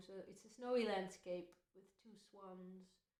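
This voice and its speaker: A woman with a Dutch accent speaks at a medium pitch with ordinary pitch variation. Audible room echo surrounds her voice. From Netherlands. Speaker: folk singer. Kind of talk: casual chat between songs.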